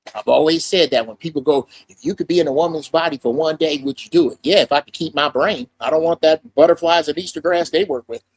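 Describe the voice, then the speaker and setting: With hardly any pauses, a man speaks very fast in an animated tone at a fairly high pitch with ordinary pitch variation, the sound dry and close with no echo. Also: big swings in loudness. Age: 60s. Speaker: podcast panelist. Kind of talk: heated debate.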